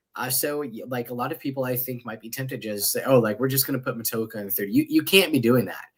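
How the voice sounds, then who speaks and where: A man talks at a very fast pace. His voice shows big swings in loudness. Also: medium pitch for a man, ordinary pitch variation. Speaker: podcast host. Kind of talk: casual chat. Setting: live stream. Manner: animated.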